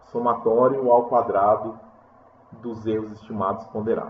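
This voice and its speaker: With audible room echo and noticeable background noise, a man talks at a fairly slow pace. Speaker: university lecturer. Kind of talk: lecture. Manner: halting.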